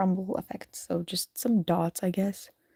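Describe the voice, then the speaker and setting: A woman's medium-pitched, somewhat breathy voice with a dark, mellow tone and an American accent, at a very slow pace, dry and close with no echo. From US. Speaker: streamer and digital artist. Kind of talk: casual live stream chat while drawing. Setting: live stream. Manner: casual, halting.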